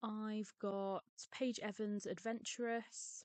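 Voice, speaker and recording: In a dry, close sound with no echo, a woman speaks quietly. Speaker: papercraft hobbyist. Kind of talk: casual talk to camera.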